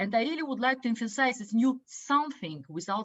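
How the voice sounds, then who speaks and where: With a Russian accent, a woman talks at a moderate pace, her high pitch moving in a lively intonation. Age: 50s. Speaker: business educator. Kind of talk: online talk. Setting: video call. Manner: halting, many fillers.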